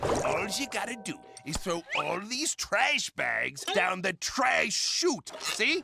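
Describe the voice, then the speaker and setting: A cartoonish character voice with a fairly high pitch, delivered at a very slow pace. Background noise is clearly audible. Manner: gruff, seafaring speech.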